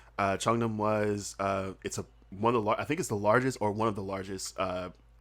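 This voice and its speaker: A man's fairly low voice at a fairly quick pace. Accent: American. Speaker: comedian and podcaster, former English teacher in Korea. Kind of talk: casual podcast interview. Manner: animated, conversational with many fillers.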